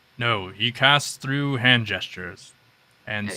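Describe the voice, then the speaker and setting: A man puts on a character voice at medium pitch. He goes at a fairly slow pace with ordinary pitch variation. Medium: actual play. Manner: earnest, slightly defensive.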